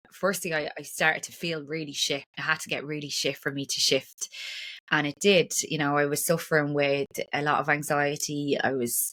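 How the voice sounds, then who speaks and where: Speaking at a moderate pace with an Irish accent, a woman uses a very deep, low voice and fairly even intonation. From Ireland. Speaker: breathwork and trauma practitioner. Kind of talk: podcast interview.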